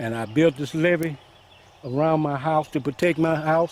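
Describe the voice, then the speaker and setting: There is noticeable background noise behind a man whose pitch is fairly high. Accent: Mississippi. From Mississippi Delta. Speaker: flood-affected resident. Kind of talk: news interview.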